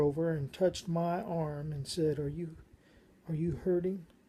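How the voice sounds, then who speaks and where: A woman with an American accent, an ordinary speaking voice, fairly low pitch, fairly even intonation and a moderate pace. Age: 60s. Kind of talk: personal testimony monologue.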